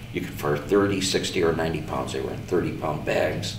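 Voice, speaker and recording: A man speaks at a very deep, low pitch and a moderate pace. There is audible room echo and light background noise. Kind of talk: interview answer. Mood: calm reflective. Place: empty room.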